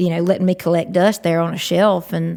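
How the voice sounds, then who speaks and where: With a Southern US accent, a woman speaks at medium pitch on a very clean recording with a silent background. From Georgia, USA. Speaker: country singer and guitarist. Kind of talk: podcast interview answer.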